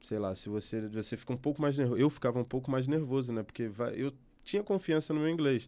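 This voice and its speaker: The recording is very clean, with a silent background. A man with a dark, mellow tone speaks at a very fast pace with ordinary pitch variation. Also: medium pitch for a man. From Brazil, Rio de Janeiro. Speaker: journalist. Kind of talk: interview. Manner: halting, self-correcting.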